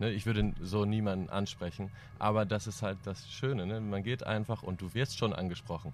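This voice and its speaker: The recording is very clean, with a silent background, and the man has an ordinary speaking voice pitched fairly low. He keeps a moderate pace and fairly even intonation. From East Frisia, northern Germany. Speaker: band drummer. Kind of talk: casual chat.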